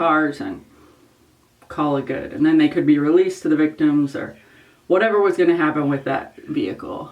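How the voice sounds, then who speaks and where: Her pitch is very deep and low for a woman. She talks at a fairly quick pace. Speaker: former crime scene investigator and makeup vlogger. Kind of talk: casual vlog storytelling. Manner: loud.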